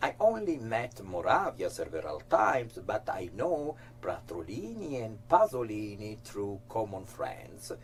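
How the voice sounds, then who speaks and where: A man speaks at a fairly slow pace with hardly any pauses. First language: Italian. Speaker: actor and interviewer. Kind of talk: scripted narration.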